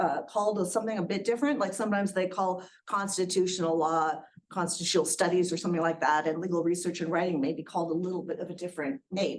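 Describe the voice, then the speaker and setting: Talking at a very fast pace, a woman uses a fairly low pitch. Her pitch varies in an ordinary way. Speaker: attorney and educator. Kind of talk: guest lecture. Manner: energetic.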